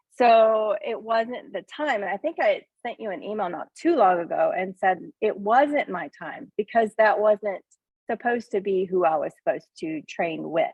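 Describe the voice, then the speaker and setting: At a moderate pace, a woman with an American accent talks at a fairly high pitch with very wide pitch swings. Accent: country Southern, toned down. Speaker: farmer. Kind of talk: casual chat.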